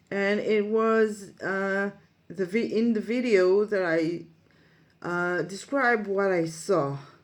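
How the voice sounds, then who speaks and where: Talking at a very slow pace, a woman with an Israeli accent uses a medium pitch with ordinary pitch variation. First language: Hebrew. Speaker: psychic medium and life coach. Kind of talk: monologue to camera, storytelling. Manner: halting, many fillers.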